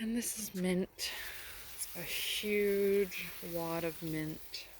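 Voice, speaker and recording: A quiet woman with a Canadian accent, at a very slow pace and with fairly even intonation, in a dry sound with no echo over light background noise. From Canada. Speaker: gardening vlogger. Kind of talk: garden tour vlog. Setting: outdoors. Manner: casual. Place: garden.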